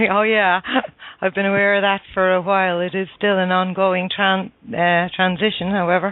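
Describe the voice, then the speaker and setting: Speaking at a moderate pace with a strong Irish accent, a woman at medium pitch keeps her intonation monotone and flat and her loudness very even. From Ireland. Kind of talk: casual chat. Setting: radio show, sharing the host's headset.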